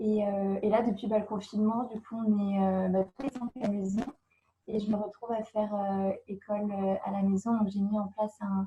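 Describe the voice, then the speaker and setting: A woman at a medium pitch speaks at a moderate pace with monotone, flat intonation. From France, Brittany (Brest). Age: 20s. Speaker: au pair. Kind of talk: interview. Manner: hesitant, many fillers.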